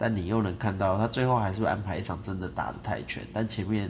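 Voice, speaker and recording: With vocal fry and a very deep, low pitch, a man talks at a fairly quick pace with lively intonation amid audible room echo. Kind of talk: casual chat. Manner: rambling, disorganized.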